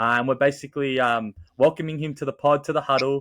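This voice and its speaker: A man with an Australian accent speaks at a fairly quick pace and a fairly high pitch. His intonation stays fairly even in a dry, close sound with no echo. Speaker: podcast host. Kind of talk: casual chat.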